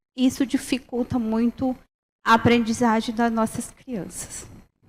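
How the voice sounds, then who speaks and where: Very slowly, a woman speaks. Her tone is dark and mellow. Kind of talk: panel presentation. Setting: university round table with audience. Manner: halting, many fillers.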